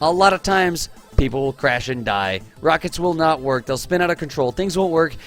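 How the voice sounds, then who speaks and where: Noticeable background noise sits behind a man talking at a very fast pace. His fairly high voice is animated, with lively intonation. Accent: American. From Texas. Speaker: game streamer. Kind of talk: live game stream commentary. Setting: live stream.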